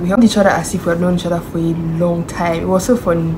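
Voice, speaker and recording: Over noticeable background noise and audible room echo, a woman at a medium pitch speaks at a fairly quick pace in an animated tone. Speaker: vlogger. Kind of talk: vlog chat.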